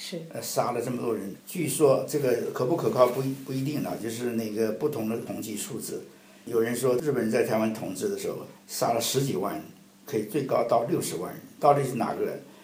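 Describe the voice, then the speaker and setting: Over noticeable background noise and audible room echo, a man speaks at a fairly quick pace in a medium pitch with lively intonation. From Taiwan (mainland-born, family came from mainland). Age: 70s. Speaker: Taiwan affairs expert, translator. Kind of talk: interview.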